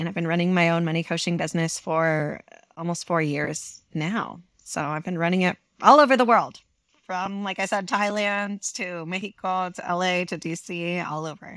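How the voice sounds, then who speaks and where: A woman talks in a plain, everyday voice at a fairly low pitch. Her pace is moderate, with ordinary pitch variation. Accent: American. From rural Eastern Washington, US. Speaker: money coach. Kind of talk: casual interview chat. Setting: remote call from their bed.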